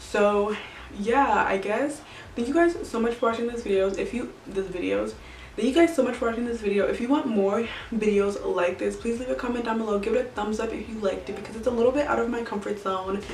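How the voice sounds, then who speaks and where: A woman at a fairly quick pace with ordinary pitch variation, amid audible room echo and noticeable background noise. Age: 20s. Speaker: beauty vlogger. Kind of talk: casual vlog talk to camera. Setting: at home.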